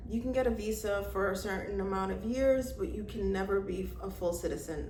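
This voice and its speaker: Moderate pace in an American accent, with audible room echo and noticeable background noise. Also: woman. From New York. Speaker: travel vlogger. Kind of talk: casual vlog talk. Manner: loud.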